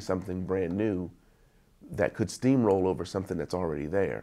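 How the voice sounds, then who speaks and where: A man with an American accent talks at a moderate pace, with a fairly low pitch and a dark, mellow tone, on a very clean recording with a silent background. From East Wheeling, West Virginia. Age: 40s. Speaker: youth counselor. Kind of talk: interview answer. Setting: outdoors.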